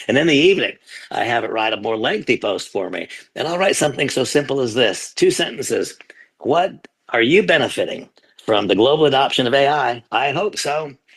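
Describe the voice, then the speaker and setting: A man's unremarkable speaking voice, lively in intonation and fairly quick in pace. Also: fairly high pitch for a man. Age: 60s. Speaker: company leader giving testimonial. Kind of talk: testimony.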